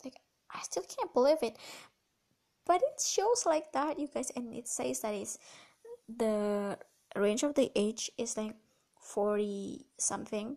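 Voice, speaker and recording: Speaking in an Indonesian accent at a fairly slow pace with long, frequent pauses, the voice has a dark, mellow tone and lively intonation. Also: woman, fairly high pitch for a woman. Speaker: podcast host. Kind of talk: casual solo podcast talk.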